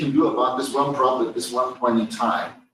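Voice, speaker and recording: A man has an unremarkable speaking voice. His intonation is lively. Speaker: professor. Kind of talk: lecture.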